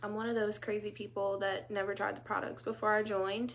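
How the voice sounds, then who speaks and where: Here a woman speaks with a Louisiana accent. Her pitch is fairly high. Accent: Southern US, Louisiana. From US South, South Louisiana. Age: 30s. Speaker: direct sales consultant. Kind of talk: casual live talk to group. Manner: casual, many fillers.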